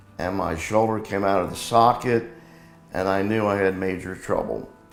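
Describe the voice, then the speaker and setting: Audible room echo surrounds a man with a fairly low pitch. He talks at a moderate pace with fairly even intonation. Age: 70s. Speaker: patient. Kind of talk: testimony.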